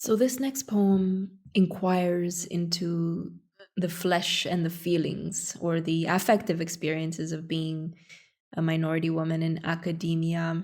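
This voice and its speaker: A Romanian accent at a fairly slow pace. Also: woman, fairly low pitch for a woman, fairly even intonation. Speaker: academic. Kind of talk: poetry reading.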